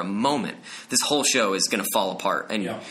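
An American-accented man amid noticeable background noise and audible room echo. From New Jersey, Bergen County. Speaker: Broadway actor. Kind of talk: casual chat.

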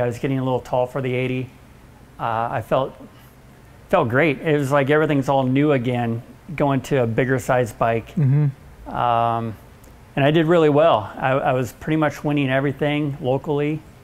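With fairly even intonation, a man keeps to a moderate pace. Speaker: interview guest. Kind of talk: interview answer. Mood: relaxed, reminiscing. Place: office.

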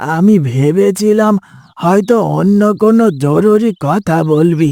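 Putting on a cartoonish character voice, a man speaks very slowly at a high pitch with ordinary pitch variation. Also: dry, close sound with no echo. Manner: affectionate, folksy.

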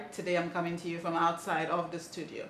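Audible room echo and light background noise surround a woman whose pitch sits fairly low. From Ghana. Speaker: TV show host. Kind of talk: interview. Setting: outside the studio. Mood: warm, upbeat. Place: home room.

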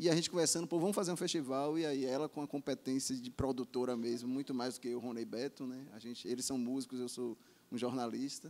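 With ordinary pitch variation, a man speaks at a very fast pace in a medium pitch. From Bahia, Brazil (Salvador). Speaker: music journalist and festival producer; music journalist. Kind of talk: panel discussion; panel discussion answer. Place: bar. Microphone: handheld.

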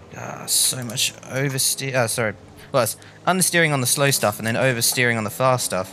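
Music plays in the background as a man with an Australian accent speaks. His pace is fairly quick with ordinary pitch variation. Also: medium pitch for a man. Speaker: gaming YouTuber. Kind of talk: live gameplay commentary. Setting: home gaming setup. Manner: animated.

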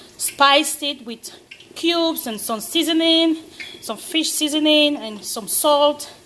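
The speaker is a woman with a high pitch. Light background noise can be heard. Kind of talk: cooking tutorial. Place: kitchen. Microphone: phone near.

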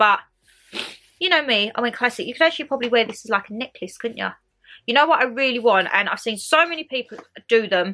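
A woman's raised, projected voice with very wide pitch swings, against a quiet background. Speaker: vlogger. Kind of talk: casual vlog chat, haul. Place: home room. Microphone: camera far.

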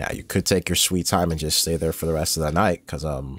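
A man speaks with a very deep, low pitch and vocal fry. The recording is very clean, with a silent background. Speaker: gaming YouTuber. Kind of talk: let's play commentary. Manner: casual, profane.

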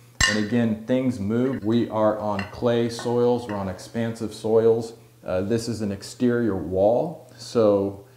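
A man's very slow speech with audible room echo and light background noise. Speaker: tile contractor. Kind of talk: explanatory vlog tutorial. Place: bathroom.

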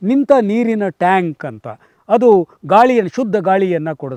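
Heard in a dry, close sound with no echo, a man speaks with very wide pitch swings. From Karnataka, Tumkur district. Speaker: farmer, retired school principal. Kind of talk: interview monologue.

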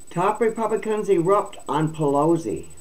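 A woman talks with vocal fry. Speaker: video channel host. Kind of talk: reading news aloud with commentary. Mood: indignant, opinionated. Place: home room. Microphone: webcam.

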